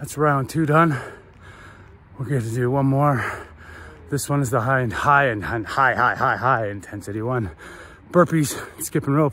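A man's medium-pitched voice with ordinary pitch variation, a moderate pace and long, frequent pauses, in a dry sound with no echo. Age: 40s. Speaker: fitness vlogger. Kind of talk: casual vlog narration. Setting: outdoors at a running track. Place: stadium. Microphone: phone near.

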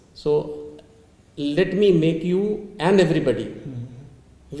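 Audible room echo surrounds a man's voice. His tone is dark and mellow, with ordinary pitch variation. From India. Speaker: dean of hospitality management; interview guest. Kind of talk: webinar panel discussion. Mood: calm, reassuring. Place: meeting room.

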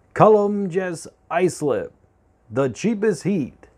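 A man's dark, mellow tone. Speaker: cooking channel host. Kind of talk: casual vlog intro. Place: kitchen. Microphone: lapel.

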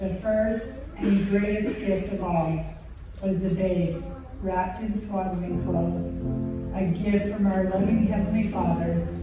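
Clear music plays behind fairly slow speech with strong room echo. The intonation is monotone and flat, with long, frequent pauses. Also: woman. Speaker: storyteller narrator. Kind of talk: storytelling narration. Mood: warm, gentle, reverent. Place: stage.

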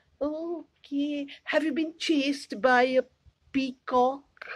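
A woman's high-pitched, cartoonish character voice at a very slow pace. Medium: puppet. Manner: hesitant, improvised.

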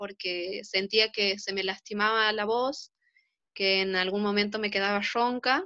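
In a quiet background, a woman's words come at a very slow pace. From Argentina, Santiago del Estero province. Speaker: singing student. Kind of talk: testimony. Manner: halting, with fillers. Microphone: phone near.

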